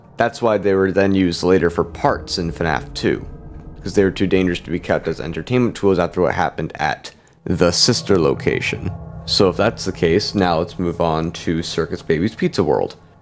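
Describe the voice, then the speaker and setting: Music plays in the background while a man with a very deep, low pitch talks at a fairly quick pace. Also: ordinary pitch variation. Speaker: lore theory video creator. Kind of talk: casual talk to camera. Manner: halting, stuttering, pausing between words.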